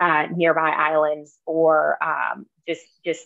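Recorded dry with no echo against a quiet background, a woman speaks at a fairly low pitch. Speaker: town staff member reporting. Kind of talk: meeting report. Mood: enthusiastic, upbeat. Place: home room. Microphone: video call.

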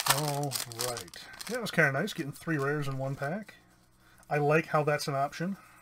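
Noticeable background noise sits behind a man with a fairly high pitch and ordinary pitch variation. He talks at a fairly quick pace, broken by long, frequent pauses. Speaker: YouTube card-game channel host; card opening streamer. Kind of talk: casual booster box opening. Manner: hesitant, many fillers. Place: home room.

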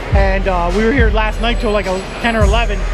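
A man speaks at a fairly quick pace. Behind him, music is playing. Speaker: motorcycle vlogger at his booth. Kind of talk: casual vlog chat. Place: hall. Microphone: phone near.

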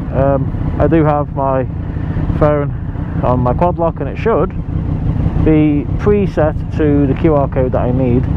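A woman talks with ordinary pitch variation and long, frequent pauses, the sound dry with no echo and the background noise loud. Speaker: motorbike rider vlogger. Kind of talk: casual vlog chat. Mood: cheerful despite dull weather. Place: motorbike. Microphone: helmet.

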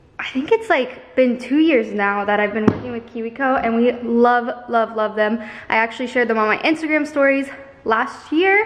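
Here a woman speaks with a high pitch. Her pace is moderate and her pitch variation ordinary. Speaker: family vlogger. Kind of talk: casual vlog chat, sponsor read. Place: kitchen. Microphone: phone near.

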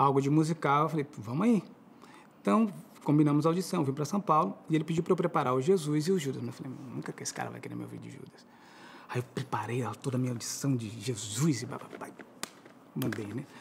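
A man talks very fast at a fairly high pitch, with lively intonation, vocal fry and big swings in loudness. His long, frequent pauses come over light background noise. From Florianópolis, southern Brazil; Santa Catarina, Brazil. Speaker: musical theatre actor and singer; musical theatre actor. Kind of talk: TV interview. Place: studio.

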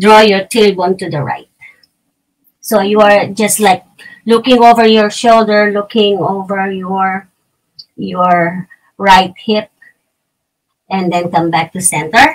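A woman with a Filipino accent speaks at a very slow pace with long, frequent pauses. Her intonation is fairly even and the background quiet. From Philippines. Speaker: yoga teacher. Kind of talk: guided yoga instruction. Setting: home recording, poor sound. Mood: calm, guiding. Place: home room. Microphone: camera far.

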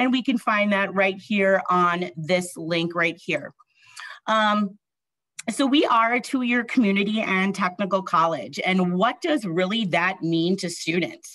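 The woman's tone is bright and sharp, the sound dry with no echo, and the background quiet. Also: ordinary pitch variation, fairly slow pace. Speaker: college admissions director. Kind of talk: informational presentation. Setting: video call. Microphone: webcam.

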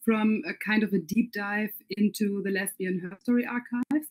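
A somewhat breathy, fairly high woman's voice with ordinary pitch variation at a moderate pace, in a dry, close sound with no echo. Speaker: interviewer and event organizer. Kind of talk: interview.

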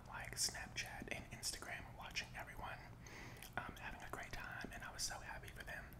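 The man's speech is a whisper. He keeps a moderate speed. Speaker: food vlogger. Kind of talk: casual mukbang vlog chat. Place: home room. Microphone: studio mic.

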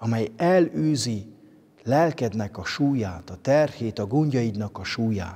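Over a quiet background, a man speaks at a very slow pace, his pitch swinging very widely. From Transylvania, Romania (Székely Land); Transylvania, Romania. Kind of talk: spiritual reflection. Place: church.

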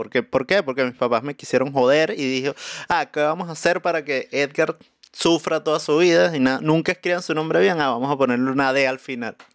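Talking at a fairly quick pace, a man with a fairly high pitch and ordinary pitch variation is heard over a quiet background with a dry sound and no echo. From Venezuela, Caracas. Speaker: musician and comedian; comedian. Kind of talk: casual chat. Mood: joking, animated. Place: studio. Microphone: studio mic.

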